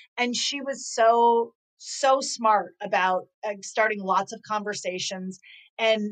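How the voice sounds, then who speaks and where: This woman has an ordinary speaking voice, pitched fairly high. She talks at a fairly slow pace. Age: 50s. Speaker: author and inclusion consultant. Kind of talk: interview.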